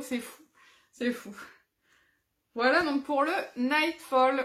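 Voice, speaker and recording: Loud and high-pitched, a woman speaks at a fairly slow pace with fairly even intonation. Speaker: adult colouring hobby youtuber. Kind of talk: casual show-and-tell vlog.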